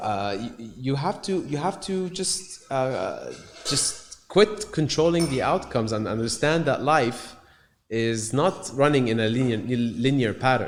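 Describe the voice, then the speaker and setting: Over noticeable background noise, a man speaks at a fairly slow pace with a fairly high pitch and lively intonation. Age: 30s. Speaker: musician and entrepreneur. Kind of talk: casual conversation. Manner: halting, many fillers and repetitions.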